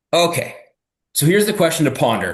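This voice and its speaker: A man's fairly quick speech with very wide pitch swings and audible room echo. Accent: Canadian. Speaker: fitness coach. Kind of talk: live webinar training. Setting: live video stream with chat. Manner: fast; casual, conversational.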